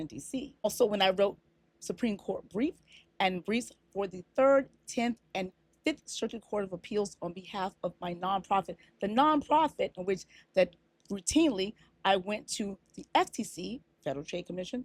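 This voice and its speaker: The sound is dry and close, with no echo, and the loudness swings widely. The pace is moderate and the intonation lively. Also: woman, medium pitch for a woman. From Africa. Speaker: lawyer and media law lecturer. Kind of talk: casual talk to camera, reply to a commenter. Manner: assertive, conversational.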